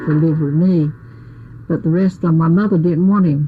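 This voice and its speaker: Over background music, a woman with an American accent talks at a moderate pace. Her pitch is very deep and low, and her intonation stays fairly even. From Ocracoke, North Carolina. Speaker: nurse and midwife's assistant. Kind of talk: oral history interview answer.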